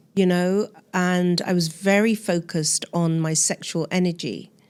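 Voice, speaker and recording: A normal speaking voice from a woman, fairly low-pitched with fairly even intonation, on a very clean recording with a silent background. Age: 60s. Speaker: spiritual teacher. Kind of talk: interview.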